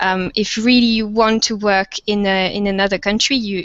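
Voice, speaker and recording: Speaking at a medium pitch, a woman with a French accent keeps a monotone, flat intonation. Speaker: university lecturer of French. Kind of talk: panel webinar discussion. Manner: hesitant, many fillers.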